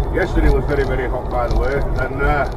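With noticeable background noise around him, a man speaks at a moderate pace. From West Yorkshire, England. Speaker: tiler. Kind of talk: casual vlog talk while driving. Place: car. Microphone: phone near.

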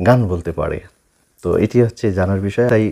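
A dark, mellow tone carries the speech. Pitch varies in an ordinary way against a quiet background. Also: man. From Bangladesh. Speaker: YouTube channel host; show host. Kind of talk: interview. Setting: studio. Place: studio.

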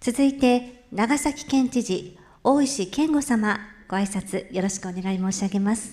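Somewhat breathy and dark, mellow in tone, a woman's fairly high voice shows ordinary pitch variation. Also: fairly slow pace. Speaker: event MC, freelance announcer. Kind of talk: formal MC. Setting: conference hall with audience. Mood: polite formal. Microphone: handheld.

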